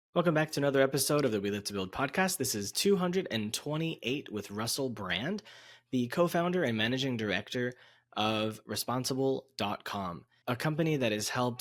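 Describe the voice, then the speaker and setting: Lively intonation runs through a plain, everyday voice. The recording is very clean, with a silent background. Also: man. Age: 30s. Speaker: podcast host. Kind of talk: podcast intro; interview.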